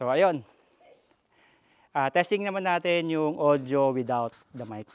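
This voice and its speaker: A man speaks at a very slow pace with lively intonation. His loudness swings widely. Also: fairly high pitch for a man. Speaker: tech and moto vlogger. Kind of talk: product demo vlog. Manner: casual.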